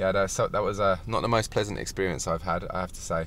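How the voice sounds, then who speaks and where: The speaker has an English accent and a fairly quick pace. The intonation stays fairly even. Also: man. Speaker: natural bodybuilder and personal trainer. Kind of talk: video diary. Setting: kitchen at night.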